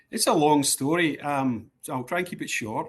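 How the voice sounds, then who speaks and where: Speaking with a Scottish accent, a man keeps a fairly quick pace. His pitch is fairly high, with ordinary variation. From Scotland, East End of Glasgow. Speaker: sports club executive. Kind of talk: interview. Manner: hesitant, many fillers.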